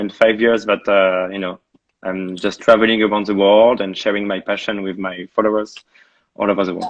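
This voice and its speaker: A man talks in a French accent at a fairly quick pace. His fairly low pitch stays monotone and flat. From France. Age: 30s. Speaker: travel blogger. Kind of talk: interview.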